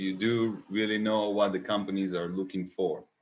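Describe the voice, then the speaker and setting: A man with an Israeli accent, fairly low in pitch, at a moderate pace. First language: Hebrew. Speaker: interview host. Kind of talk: interview.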